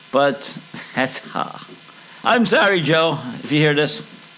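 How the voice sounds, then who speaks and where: A man with an American accent at a fairly high pitch, very slow pace and ordinary pitch variation, over noticeable background noise. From Chicago, US Midwest. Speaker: podcast co-host. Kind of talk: casual chat.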